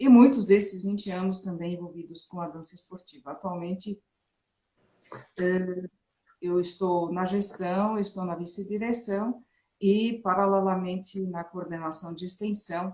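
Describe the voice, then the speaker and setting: Her tone dark and mellow, a woman speaks somewhat breathily at a fairly slow pace with fairly even intonation. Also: medium pitch for a woman, big swings in loudness. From Germany. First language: German (speaking Portuguese). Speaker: physical education professor. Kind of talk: interview.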